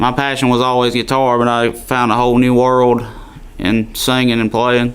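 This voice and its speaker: Speaking in a strong Alabama accent, a man holds a medium pitch and very even loudness at a moderate pace, his intonation monotone and flat. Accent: Southern (Alabama), strong. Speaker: country singer. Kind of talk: radio interview. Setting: studio.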